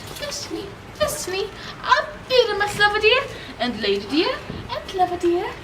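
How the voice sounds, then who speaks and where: A put-on character voice, squeaky and at an extremely high pitch, comes at a fairly slow pace with long, frequent pauses. Noticeable background noise runs underneath. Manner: mock-feminine, comic.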